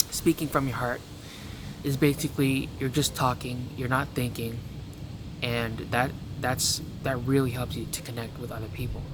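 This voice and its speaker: Noticeable background noise accompanies a man of medium pitch. He keeps his intonation fairly even and pauses long and often. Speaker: self-help vlogger. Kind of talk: casual advice monologue. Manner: fast, racing speech; halting with stutters.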